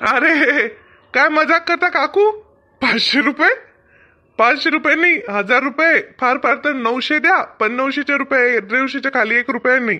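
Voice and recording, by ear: A man puts on a cartoonish character voice with an extremely high pitch, a bright, sharp tone and ordinary pitch variation. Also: moderate pace.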